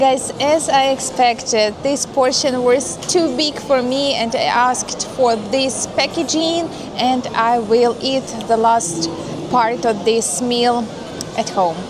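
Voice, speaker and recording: A woman with a Russian accent at a high pitch and a very slow pace, with ordinary pitch variation and very even loudness, plus audible room echo and noticeable background noise. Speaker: vlogger. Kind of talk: casual vlog narration. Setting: walking around a shopping mall. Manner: hesitant with fillers.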